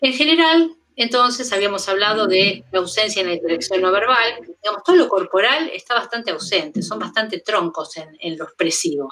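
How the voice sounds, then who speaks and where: A woman at a fairly quick pace with very wide pitch swings. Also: medium pitch for a woman. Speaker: pediatric mental health lecturer. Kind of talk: lecture. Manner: halting.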